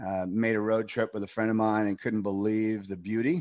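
In a normal speaking voice, a man with an American accent talks fairly quickly at a fairly low pitch, the sound dry and close with no echo against a quiet background. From New York. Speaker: business CEO, former banker. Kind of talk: casual interview.

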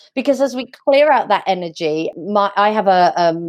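A woman with an English accent against a quiet background. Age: 30s. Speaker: life coach. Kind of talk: interview.

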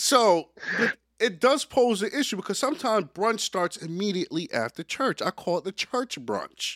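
Here a man speaks at a high pitch and a moderate pace, with lively intonation. The sound is dry and close with no echo, on a very clean recording with a silent background. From Jamaica. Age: 20s. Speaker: podcast host. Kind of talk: casual chat.

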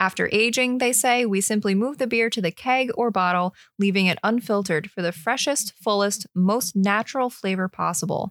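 A woman with a normal speaking voice talks at a moderate pace with hardly any pauses, her medium pitch showing ordinary variation and her loudness very even. The very clean recording has a silent background and a dry, close sound with no echo. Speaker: beer podcast co-host. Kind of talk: casual chat. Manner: laughs often.

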